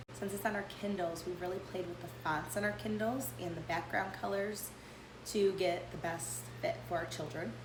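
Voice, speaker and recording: Over noticeable background noise, a woman talks with lively intonation at a fairly low pitch. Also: moderate pace. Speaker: homeschooling parent. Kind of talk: casual talk to camera.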